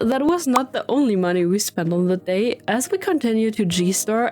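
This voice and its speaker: With lively intonation and a fairly high pitch, a woman talks through noticeable background noise. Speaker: travel vlogger. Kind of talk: vlog narration.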